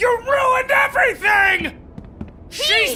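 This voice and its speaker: Someone shouts in a put-on character voice at an extremely high pitch. The delivery is fairly slow over clear background noise. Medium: video game. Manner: loud, emotional.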